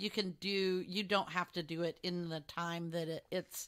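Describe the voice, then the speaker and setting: Using a bright, sharp tone, this woman talks with an American accent and ordinary pitch variation. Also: very clean recording, silent background. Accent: Texas accent, shows sometimes. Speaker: podcast co-host. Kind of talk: casual chat.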